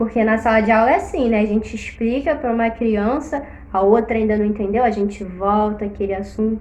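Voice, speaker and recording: A woman's fairly high-pitched voice at a moderate pace, with audible room echo. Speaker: teacher. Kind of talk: casual chat.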